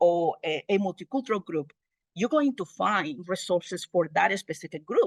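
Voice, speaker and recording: In a dry, close sound with no echo, a woman with a Spanish accent speaks at a fairly slow pace with lively intonation. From Honduras. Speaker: multicultural family outreach specialist. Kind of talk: presentation at an online meeting.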